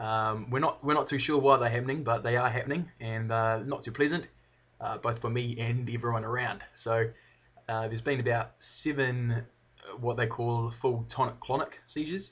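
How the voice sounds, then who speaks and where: At a moderate pace, a man with a New Zealand accent talks at a medium pitch. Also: fairly even intonation. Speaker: video blogger, brain surgery patient. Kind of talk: personal video update. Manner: slurred at times; halting, pausing.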